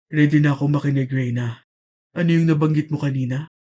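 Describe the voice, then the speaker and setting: Doing a put-on character voice, a man talks at a fairly quick pace with a fairly high pitch and monotone, flat intonation. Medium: read story. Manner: calm, smooth, teasing.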